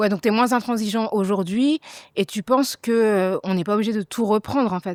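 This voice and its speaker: An ordinary speaking voice, a woman talks at a moderate pace with fairly high pitch and ordinary pitch variation, dry and close with no echo. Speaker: journalist, podcast host. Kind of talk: podcast interview questions.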